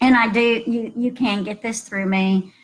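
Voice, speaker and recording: A woman's intonation is monotone and flat as she talks at a moderate pace. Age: 60s. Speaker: health practitioner. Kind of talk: webinar recap talk. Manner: casual, hesitant with fillers.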